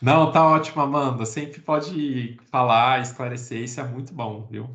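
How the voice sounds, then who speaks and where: Loudness swings widely as a man speaks at a moderate pace. His pitch is medium. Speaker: biology teacher. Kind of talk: lecture. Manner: animated.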